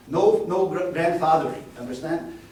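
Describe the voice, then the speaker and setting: Amid noticeable background noise and audible room echo, a man talks with a non-native accent. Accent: foreign. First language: not English. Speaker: sports scientist. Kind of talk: lecture. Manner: fast; animated.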